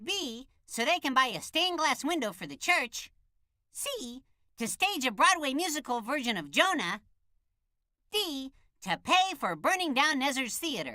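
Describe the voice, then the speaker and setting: In a cartoonish character voice, a female-sounding speaker goes high in pitch with very wide pitch swings at a moderate pace. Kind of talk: kids' cartoon menu voice. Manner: bright, bouncy.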